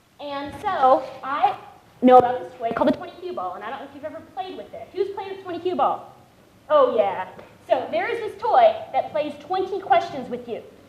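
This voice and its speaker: A woman's extremely high-pitched, animated voice at a moderate pace, with very wide pitch swings, big swings in loudness, audible room echo and noticeable background noise. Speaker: patient advocate speaker. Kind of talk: panel talk. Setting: stage with audience.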